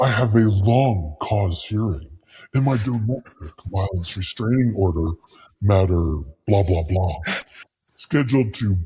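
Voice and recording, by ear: A man uses a put-on character voice that is guttural and menacing in tone, with a fairly low pitch. He speaks at a fairly slow pace with long, frequent pauses.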